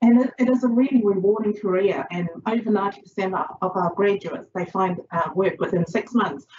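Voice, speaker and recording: Over noticeable background noise, a woman speaks at a medium pitch. Her pace is moderate and her pitch variation ordinary. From Chinese background. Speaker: social work lecturer. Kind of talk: lecture. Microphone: video call.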